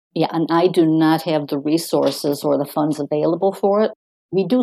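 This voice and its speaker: A woman's very deep, low voice, dark and mellow in tone with vocal fry, ordinary pitch variation and a dry, close sound with no echo. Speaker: nonprofit founder, retired paralegal. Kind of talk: interview.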